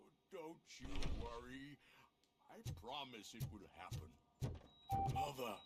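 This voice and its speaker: A man puts on a character voice at a medium pitch. He goes fairly slowly, with long, frequent pauses. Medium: video game. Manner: wistful, rambling.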